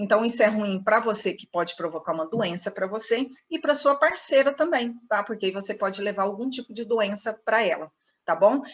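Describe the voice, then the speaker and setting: A plain, everyday voice from a woman, fairly high in pitch, with lively intonation. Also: moderate pace. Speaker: sales trainer. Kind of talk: online training session. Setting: computer video session.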